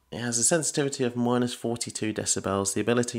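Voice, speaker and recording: Very fast speech from a man, quiet background behind him. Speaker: tech reviewer. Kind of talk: product review. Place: home room. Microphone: studio mic.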